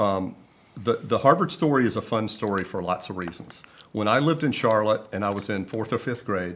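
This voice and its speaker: With a Southern US accent, a man speaks at a fairly quick pace in a fairly low pitch with lively intonation. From US South, South Carolina. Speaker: media executive. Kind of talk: casual interview. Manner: halting.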